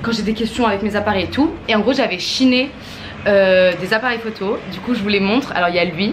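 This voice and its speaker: A woman talks at a fairly quick pace with a medium pitch and ordinary pitch variation. Noticeable background noise and audible room echo sit behind her voice. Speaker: vlogger. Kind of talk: casual vlog to camera. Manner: fast; animated.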